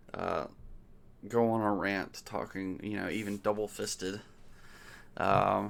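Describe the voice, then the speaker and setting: A man's fairly slow, mumbling speech with an American accent, pitched fairly low. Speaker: political commentator. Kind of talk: casual monologue. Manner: halting, many fillers. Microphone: new mic.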